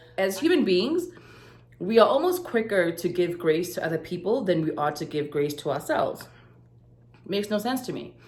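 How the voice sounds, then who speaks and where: Lively intonation marks a woman's medium-pitched voice at a moderate pace, with audible room echo. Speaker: life coach and vlogger. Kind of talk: casual vlog to camera.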